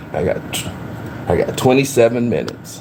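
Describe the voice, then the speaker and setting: A man is speaking. Noticeable noise runs in the background. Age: 50s. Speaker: live streamer. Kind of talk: casual chat.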